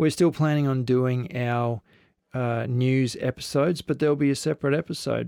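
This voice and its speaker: In an Australian accent, a man talks at a moderate pace with medium pitch and fairly even intonation. The background is quiet. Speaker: podcast host. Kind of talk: podcast intro monologue; casual interview.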